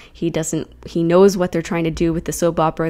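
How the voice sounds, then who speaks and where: This woman's voice has a dark, mellow tone and a fairly low pitch. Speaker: comic book reviewer. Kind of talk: casual review talk to camera.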